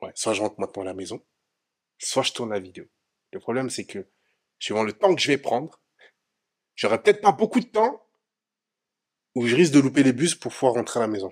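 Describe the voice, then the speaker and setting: At a fairly quick pace, a man with a medium pitch talks with very wide pitch swings, big swings in loudness, and long, frequent pauses. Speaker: vlogger, studio entrepreneur. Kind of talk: casual vlog.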